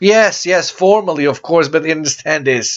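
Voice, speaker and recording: Here a man speaks with a Serbian accent. His pitch variation is ordinary. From Serbia (former Yugoslavia). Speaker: church founder and preacher. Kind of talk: religious announcement talk. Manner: halting with repetitions.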